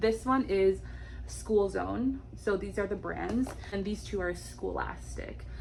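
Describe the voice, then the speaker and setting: Audible room echo hangs on a woman's voice. She talks at a very slow pace. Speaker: homeschooling mom and early childhood educator. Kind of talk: tutorial. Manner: animated.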